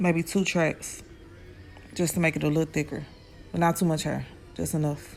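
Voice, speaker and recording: Music plays behind a woman speaking at a moderate pace in a very deep, low voice. Her intonation is monotone and flat, with long, frequent pauses. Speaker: hairstylist. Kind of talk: tutorial voiceover. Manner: casual, hesitant.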